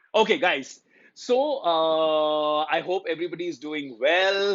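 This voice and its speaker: A man is talking. His voice is fairly high. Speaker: motivational speaker, life coach. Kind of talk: casual Hindi-English live stream talk to viewers. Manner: upbeat, cheerful.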